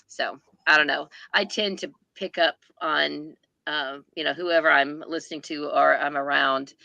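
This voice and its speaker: With an Oklahoma accent, a woman speaks at a very deep, low pitch and a fairly slow pace, her bright, sharp tone carrying vocal fry and fairly even intonation. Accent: Oklahoma Southern American. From US South, southeast Oklahoma. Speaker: booktuber. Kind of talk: casual chat.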